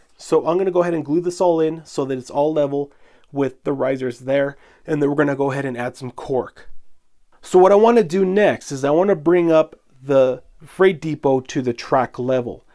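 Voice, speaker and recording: Moving at a moderate pace, a man speaks with a dark, mellow tone at a fairly high pitch. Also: ordinary pitch variation. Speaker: model railroading video host. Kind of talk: tutorial. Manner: casual, conversational.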